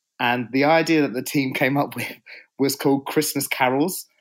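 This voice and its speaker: This very clean recording with a silent background captures a man speaking at a medium pitch. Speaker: PR agency co-founder. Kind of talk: casual interview chat.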